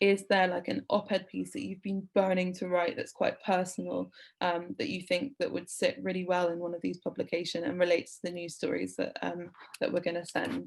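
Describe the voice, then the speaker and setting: Speaking fairly quickly, a woman talks in a British accent. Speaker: editor leading a journalism workshop. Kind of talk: online workshop presentation. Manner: casual with many fillers.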